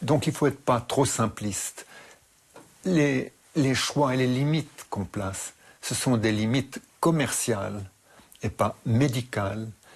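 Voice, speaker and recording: Speaking at a very slow pace with long, frequent pauses, a man uses medium pitch and ordinary pitch variation. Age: 80s. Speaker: expert interviewee on radiation. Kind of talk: interview. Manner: halting, with hesitations.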